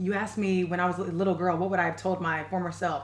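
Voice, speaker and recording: A woman's medium-pitched voice at a very fast pace over noticeable background noise. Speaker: TV personality. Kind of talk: casual interview. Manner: loud, boisterous when passionate.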